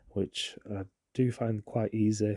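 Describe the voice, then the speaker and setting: A man with a British accent, in a dry, close sound with no echo. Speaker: watercolour painting instructor. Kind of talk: tutorial. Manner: casual, hesitant with fillers.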